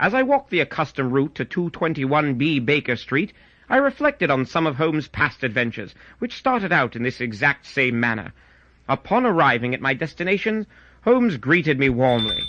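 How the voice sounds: The voice moves at a moderate pace with big pitch swings and a fairly bright tone. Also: man, medium pitch for a man.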